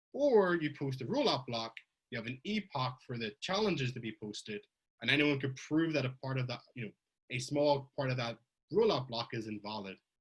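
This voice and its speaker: A somewhat breathy man with an Irish accent, medium pitch, lively intonation and a fairly quick pace. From Ireland. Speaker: blockchain researcher giving a conference talk. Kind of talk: technical conference talk. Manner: conversational, with fillers and self-corrections.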